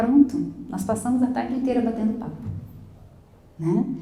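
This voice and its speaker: A woman speaks at a moderate pace with lively intonation, her voice carrying audible room echo over noticeable background noise. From Brazil. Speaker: school English teacher. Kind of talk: lecture.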